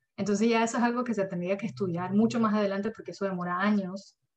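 Somewhat breathy, a woman's voice comes through. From Germany. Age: 20s. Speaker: climate change educator. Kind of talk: lecture.

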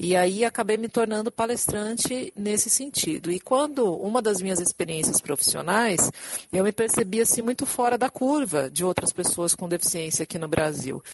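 Over noticeable background noise, yet with a dry, close sound and no echo, a woman speaks at medium pitch and a moderate pace, her intonation lively, with hardly any pauses. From São Paulo, Brazil. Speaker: diversity and inclusion specialist. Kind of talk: podcast interview.

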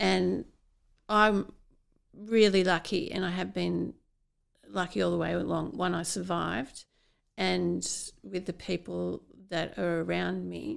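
The speaker talks in an Australian accent at a fairly slow pace, leaving long, frequent pauses. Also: woman. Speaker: podcast host and brain aneurysm survivor. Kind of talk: interview, conversational. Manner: slow, halting, with memory lapses.

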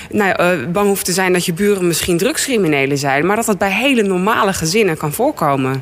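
A woman at a medium pitch talks at a fairly quick pace with lively intonation. Noticeable background noise runs beneath her voice. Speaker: politician. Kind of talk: radio interview. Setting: studio.

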